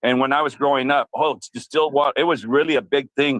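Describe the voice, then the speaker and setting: Here a man talks at a fairly quick pace in a medium pitch. He has an ordinary speaking voice. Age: 60s. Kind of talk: casual chat.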